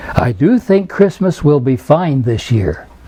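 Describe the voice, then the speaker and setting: The speech moves at a fairly slow pace. Noticeable background noise runs through the clip. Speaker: storybook reader. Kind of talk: children's storybook reading.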